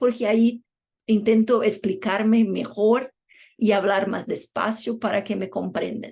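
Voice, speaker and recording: With a Portuguese accent, a woman speaks fairly slowly at a fairly high pitch. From Brazil. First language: Portuguese (speaking Spanish). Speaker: law professor. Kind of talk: lecture.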